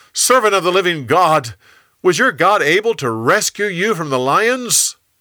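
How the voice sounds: Bright and sharp, a man's put-on character voice sits high with big pitch swings. His pace is moderate.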